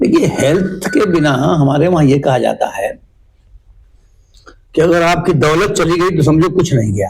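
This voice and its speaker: This man's voice is high-pitched, with ordinary pitch variation and very even loudness. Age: 60s. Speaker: local politician. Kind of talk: interview.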